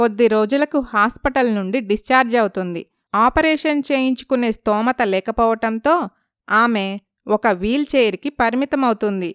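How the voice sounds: A woman speaks fairly slowly in a fairly high, clear, smooth and fairly bright voice, with ordinary pitch variation. The recording is very clean, dry and close, with no echo and a silent background.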